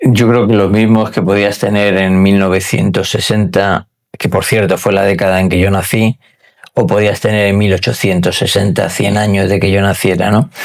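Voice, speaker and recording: A man speaks with monotone, flat intonation and very even loudness. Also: fairly low pitch for a man, moderate pace. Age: 60s. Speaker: wealth manager. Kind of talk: interview conversation. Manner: hesitant with fillers.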